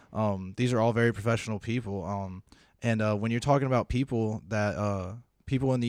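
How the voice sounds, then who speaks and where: A man speaks with an American accent in an ordinary speaking voice, fairly low in pitch and fairly quick in pace. His intonation is fairly even, and the recording is very clean with a silent background. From South Carolina. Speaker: executive assistant. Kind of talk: casual chat.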